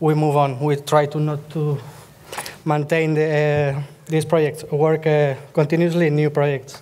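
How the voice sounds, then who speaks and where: This man speaks fairly slowly with a Spanish accent and a fairly high pitch. There is noticeable background noise. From Spain. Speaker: software developer. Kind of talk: conference lightning talk. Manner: halting, many fillers.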